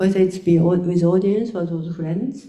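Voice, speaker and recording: Audible room echo follows a woman speaking in a Japanese accent. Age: 70s. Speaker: choreographer. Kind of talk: panel discussion. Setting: stage with audience. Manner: halting.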